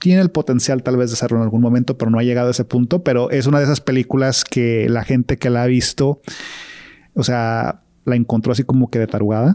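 Very fast and very even in loudness, a man's medium-pitched voice has a dark, mellow tone, fairly even intonation and a dry, close sound with no echo. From Guadalajara, Mexico. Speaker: film podcast co-host. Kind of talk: casual chat.

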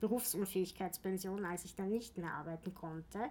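A woman at medium pitch and moderate pace. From Austria, Vienna. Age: 40s. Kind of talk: interview. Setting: office.

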